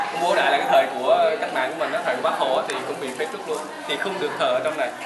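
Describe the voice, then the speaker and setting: A man at a very fast pace against background crowd noise. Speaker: tour guide. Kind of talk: guided tour narration about history. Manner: conversational, explanatory, storytelling. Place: church. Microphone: phone near.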